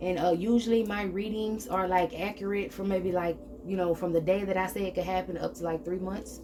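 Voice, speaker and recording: The speaker talks at a fairly quick pace amid noticeable background noise. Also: woman. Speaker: tarot reader. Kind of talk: spiritual reading monologue. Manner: fast; animated.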